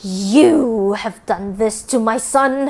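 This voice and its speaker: A woman's put-on character voice, growling and angry in tone, fairly high in pitch, with ordinary pitch variation. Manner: snarling, angry.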